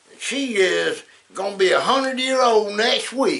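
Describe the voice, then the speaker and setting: A man with a Southern US accent speaks in a raised, projected voice at a very slow pace. Noticeable background noise can be heard. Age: 70s. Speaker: former trucking business owner. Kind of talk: casual talk to camera.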